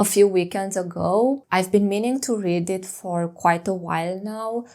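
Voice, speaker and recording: In a very clean recording with a silent background, a woman speaks with a non-native accent. Her pitch is medium, her pace fairly slow, and her intonation fairly even. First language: not English. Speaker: book vlogger. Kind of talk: casual vlog talk.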